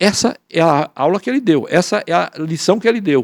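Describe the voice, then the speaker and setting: A man's high-pitched voice at a moderate pace, with a dry, close sound and no echo. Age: 80s+. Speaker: professor and author. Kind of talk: panel talk. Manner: halting.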